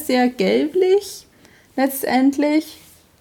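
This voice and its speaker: A woman with lively intonation. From Switzerland, Emmental (canton of Bern). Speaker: podcast host. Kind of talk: casual chat.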